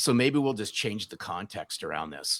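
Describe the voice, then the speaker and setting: Fairly quick speech comes from a man with an American accent. The sound is dry and close with no echo, in a very clean recording with a silent background. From US West Coast, Southern California. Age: 60s. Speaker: sales author and speaker. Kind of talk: podcast interview.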